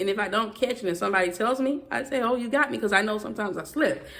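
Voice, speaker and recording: In a strong Southern US accent, a woman speaks with lively intonation. Noticeable background noise is present. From US South. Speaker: YouTuber. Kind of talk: vlog rant. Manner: fast.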